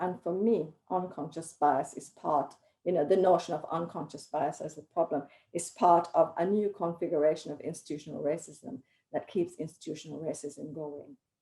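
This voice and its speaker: Delivered at a moderate pace, a woman's fairly low, dark, mellow voice shows ordinary pitch variation and big swings in loudness. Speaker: academic panelist. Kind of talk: panel discussion.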